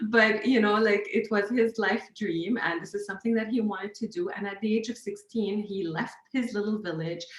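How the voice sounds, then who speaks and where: A woman's medium-pitched voice in an Arabic accent, at a moderate pace, amid noticeable background noise. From Lebanon. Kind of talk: casual chat.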